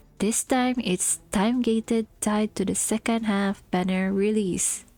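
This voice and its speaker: With a non-native accent, the speaker has a dark, mellow, somewhat breathy tone in a dry, close sound with no echo. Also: woman. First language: not English. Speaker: gaming content creator. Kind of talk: game story review narration. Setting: cheap home microphone. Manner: casual, sarcastic.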